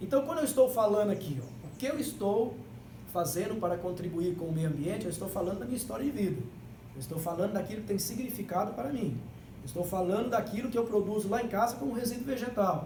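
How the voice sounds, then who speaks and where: Amid noticeable background noise and audible room echo, a man talks at a very fast pace. His voice is high-pitched, with lively intonation. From Brazilian Northeast. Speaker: agroecologist workshop instructor. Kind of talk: workshop talk. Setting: library event with live audience. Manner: emphatic, repeats key words.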